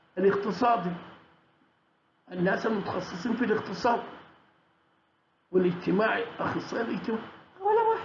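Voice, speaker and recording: A man with a Sudanese accent and high pitch, at a moderate pace with long, frequent pauses, in audible room echo. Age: 70s. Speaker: political commentator. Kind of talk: monologue commentary. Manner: halting, many restarts.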